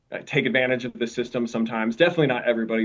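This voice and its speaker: With a Minnesota accent, a man speaks at a medium pitch. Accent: Minnesotan. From Minnesota, US Midwest. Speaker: camp director at a mission. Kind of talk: podcast interview.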